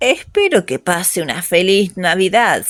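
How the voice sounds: A female-sounding voice in a put-on character voice comes out hoarse and breathy, at a medium pitch and moderate pace.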